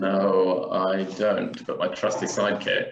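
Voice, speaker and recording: A man speaks in a room with audible echo. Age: 20s. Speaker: tech startup co-founder. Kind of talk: interview.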